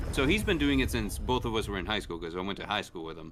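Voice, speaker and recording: A man with a Spanish accent speaks in a bright, sharp tone marked by vocal fry. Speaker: gaming streamer. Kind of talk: casual chat. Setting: live stream with co-hosts.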